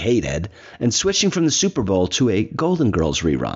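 Here is a man with an unremarkable speaking voice and a fairly low pitch. He talks at a fairly quick pace. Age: 60s. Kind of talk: scripted reflection mixed with casual talk. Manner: conversational with fillers and restarts.

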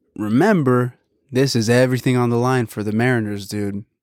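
Recorded very cleanly against a silent background, with a dry, close sound and no echo, a man with an American accent speaks in an animated tone at a moderate pace and medium pitch. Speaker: podcast host. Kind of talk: casual chat, then excited play-by-play style sports commentary on the baseball game. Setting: home studio with headset and coffee. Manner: animated, excitable, slangy.

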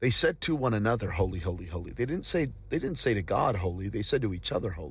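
In a very clean recording with a silent background, a man speaks at a very fast pace in an animated, passionate tone, somewhat breathy, his pitch swinging very widely. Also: fairly low pitch for a man. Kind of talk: preacher in full flow, exhorting staff. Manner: emphatic, urgent, rhythmic repetition; animated, passionate, encouraging.

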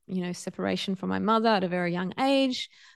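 A woman with an Australian accent talks at a fairly quick pace at medium pitch, against a quiet background. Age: 40s. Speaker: podcast host and yoga teacher. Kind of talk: personal storytelling monologue.

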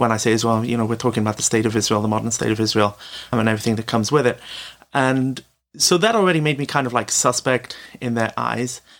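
With a British accent, a man talks at a very fast pace. His pitch is medium and varies in an ordinary way. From Britain. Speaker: former day school teacher, anonymous author. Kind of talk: interview answers.

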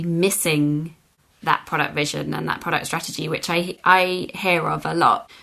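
Someone speaks in a British accent against a quiet background. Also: woman. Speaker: podcast host. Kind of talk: interview.

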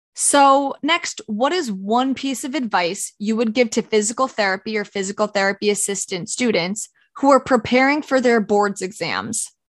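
A woman with an American accent and an ordinary speaking voice talks at a moderate pace, her pitch fairly high, with hardly any pauses. The sound is dry and close with no echo, against a quiet background. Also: ordinary pitch variation. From Orange County, New York. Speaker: physical therapist, podcast co-host. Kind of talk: casual chat.

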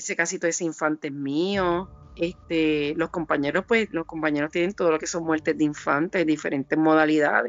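At a fairly quick pace with hardly any pauses, a woman speaks at a very deep, low pitch with fairly even intonation. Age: 50s. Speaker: forensic investigator. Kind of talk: interview. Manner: halting, many fillers.

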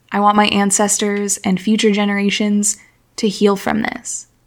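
An American accent comes through. It belongs to a female speaker. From United States, Syrian American family. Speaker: podcast host. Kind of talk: solo podcast monologue.

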